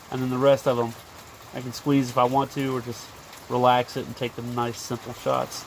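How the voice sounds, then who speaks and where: Over noticeable background noise, a man talks at a fairly quick pace in a medium-pitched voice. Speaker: DIY maker / outdoors channel host. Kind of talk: casual tutorial. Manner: animated.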